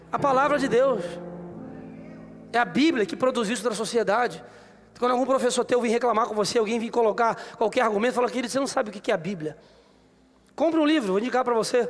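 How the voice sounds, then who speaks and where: A man's extremely high-pitched voice, very fast yet broken by long, frequent pauses. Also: ordinary pitch variation. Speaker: pastor. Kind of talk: sermon. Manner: animated.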